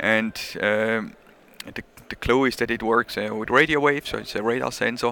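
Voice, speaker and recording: A man speaks with a Swiss accent at a medium pitch. His pace is moderate and his intonation fairly even. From Switzerland. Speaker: measuring equipment company representative. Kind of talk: casual interview. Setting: conference show floor.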